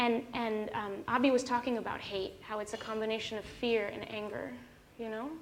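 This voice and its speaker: Fairly high female speech with clear room echo. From Mexico. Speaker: author. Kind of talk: fireside chat. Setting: stage with audience.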